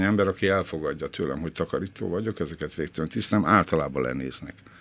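Speaking at a fairly quick pace, a man lets his pitch swing very widely. His voice has vocal fry. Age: 60s. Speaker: former film critic, cleaner. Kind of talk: interview.

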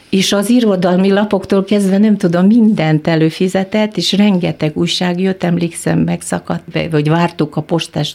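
A woman's fairly low voice, with fairly even intonation at a moderate pace, is heard over noticeable background noise. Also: hardly any pauses. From Kyrgyzstan. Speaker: film industry professional. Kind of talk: radio interview. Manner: halting.

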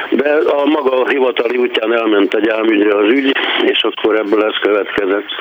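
A man talks with fairly even intonation and very even loudness. Noticeable background noise runs underneath. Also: medium pitch for a man, moderate pace. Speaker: caller. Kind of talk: storytelling.

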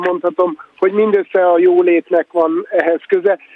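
Over noticeable background noise, a high-voiced man speaks fairly slowly with ordinary pitch variation. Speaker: filmmaker. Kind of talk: radio discussion. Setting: remote line, walking in a street.

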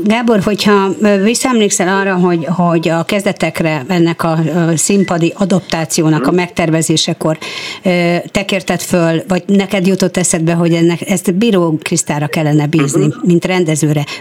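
Over noticeable background noise, a woman speaks in a fairly low voice at very even loudness. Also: ordinary pitch variation, moderate pace. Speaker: radio host. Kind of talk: interview. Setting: studio.

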